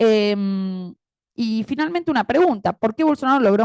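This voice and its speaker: A woman with an Argentine accent speaks at a moderate pace in a fairly high voice. Her pitch swings very widely, and the sound is dry and close with no echo. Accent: Argentine Spanish (Rioplatense). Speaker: academic panel commentator and moderator. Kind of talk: academic panel commentary.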